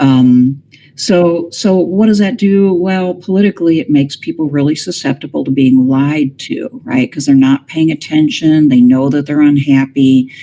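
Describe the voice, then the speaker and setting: A woman's very deep, low voice at a moderate pace, with ordinary pitch variation, hardly any pauses and noticeable background noise. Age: 60s. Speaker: political philosopher. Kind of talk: interview.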